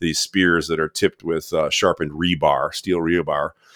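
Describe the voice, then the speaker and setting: A man with an American accent speaks at a very deep, low pitch. The recording is very clean, with a silent background and a dry, close sound with no echo. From Michigan, US Midwest. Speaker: film director and conservationist. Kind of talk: interview conversation.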